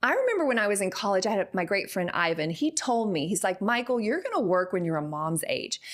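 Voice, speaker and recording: With a Texan accent, a woman speaks in an animated tone at a medium pitch, her intonation lively. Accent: Texan accent, now embraced. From Texas. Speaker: actress. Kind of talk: interview.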